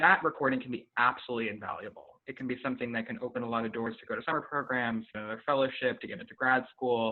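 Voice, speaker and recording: The speech goes at a very fast pace. Pitch varies in an ordinary way. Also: man. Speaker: flutist and ensemble director giving a guest lecture. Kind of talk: lecture over video call. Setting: video call.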